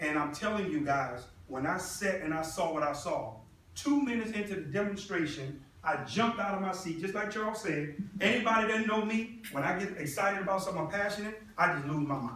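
This man talks at a fairly quick clip with lively intonation. Some room echo can be heard. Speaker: presenter. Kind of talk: motivational presentation. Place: meeting room. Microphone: camera far.

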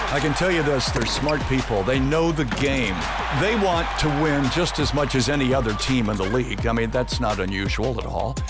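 Loud background noise runs under a man speaking at a moderate pace. The sound itself is dry, with no echo. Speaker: public address announcer. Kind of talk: casual interview answer, reminiscing about career. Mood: warm, proud, nostalgic. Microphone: headset.

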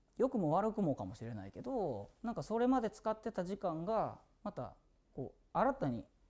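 The pitch swings very widely. The pace stays moderate. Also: man, high pitch for a man. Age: 40s. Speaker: singer streaming a birthday live broadcast; musician hosting his birthday stream. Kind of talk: casual solo livestream talk. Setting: studio. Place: studio.

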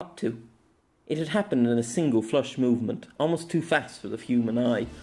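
With ordinary pitch variation, the passage is read aloud in a natural voice.

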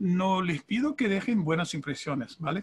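With his pitch varying in an ordinary way, the man speaks fairly slowly. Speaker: conference interpreter and author. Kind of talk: panel discussion. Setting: video call. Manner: halting, repeats words. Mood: warm, grateful. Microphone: video call.

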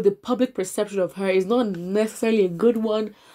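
Very fast speech from a woman with fairly even intonation, on a very clean recording with a silent background. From Nigeria. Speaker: YouTube news commentator. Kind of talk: casual commentary on news and reading comments. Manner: hesitant, many fillers and restarts.

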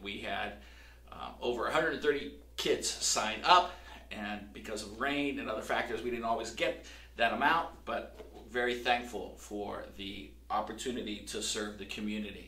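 A man speaks fairly slowly. The room echo is audible. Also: big swings in loudness. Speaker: pastor. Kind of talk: church announcements to camera. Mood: warm, cheerful. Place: church.

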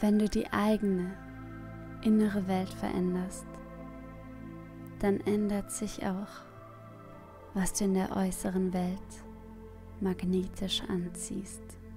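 A woman's calm, monotone, flat delivery at a very slow pace, with long, frequent pauses and music in the background. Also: medium pitch for a woman. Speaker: meditation guide. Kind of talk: guided meditation. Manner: calm, slow.

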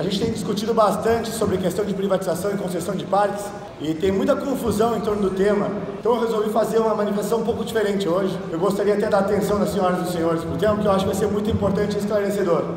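Talking at a very fast pace, a man with a high pitch keeps his intonation fairly even amid light background noise and audible room echo. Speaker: city councillor. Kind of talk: political speech. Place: hall. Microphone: phone near.

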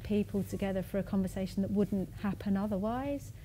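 Over light background noise, a woman speaks in a dark, mellow, somewhat breathy tone. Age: 40s. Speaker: conversation moderator. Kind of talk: public conversation. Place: hall.

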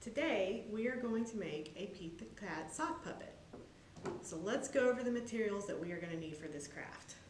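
At a moderate pace, a woman talks over light background noise, with audible room echo. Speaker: presenter. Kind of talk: tutorial. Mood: warm, friendly, upbeat. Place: hall.

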